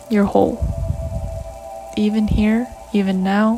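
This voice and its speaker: Over music in the background, a soft-spoken woman talks at a fairly slow pace with a fairly high pitch. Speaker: self-help audio creator. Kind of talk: reading aloud.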